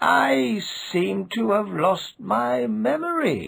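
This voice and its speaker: A man's put-on character voice at a medium pitch, very slow, with very wide pitch swings. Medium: read story. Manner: earnest, bewildered.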